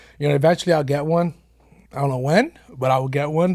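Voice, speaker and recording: In an American accent, a man speaks at a fairly quick pace with fairly even intonation and a somewhat breathy voice. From Lawrence, Massachusetts. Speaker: insurance businessman. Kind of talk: casual chat.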